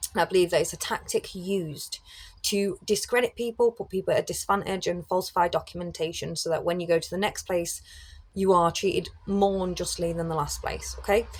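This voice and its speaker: With a British accent, a woman speaks. Her pace is fairly quick. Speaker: criminologist and YouTuber. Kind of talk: casual monologue to camera. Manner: loud.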